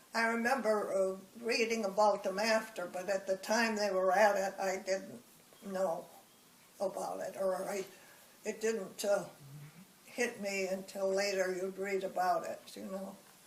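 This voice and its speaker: This woman talks at a fairly slow pace in a medium pitch with a flat, monotone intonation, and there is noticeable background noise. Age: 80s+. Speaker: elderly woman recounting her life. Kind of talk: life story interview. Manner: halting.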